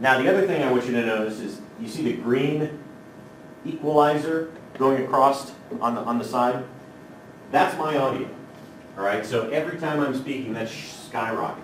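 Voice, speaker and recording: With audible room echo and noticeable background noise, a man talks at a moderate pace, leaving long, frequent pauses. His pitch is medium, with ordinary variation. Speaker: technology trainer for teachers. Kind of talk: workshop tutorial. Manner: casual, filler-heavy.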